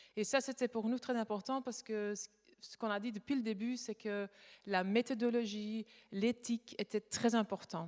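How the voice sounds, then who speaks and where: The sound is dry and close, with no echo. A woman with a fairly high pitch speaks at a moderate pace. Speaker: conference speaker, art conservation company co-founder. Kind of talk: conference talk. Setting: conference with audience. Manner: halting, many hesitations.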